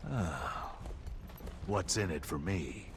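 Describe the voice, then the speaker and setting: Against loud background noise, a man does a put-on character voice with a very deep, low pitch. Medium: video game. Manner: wry, flippant.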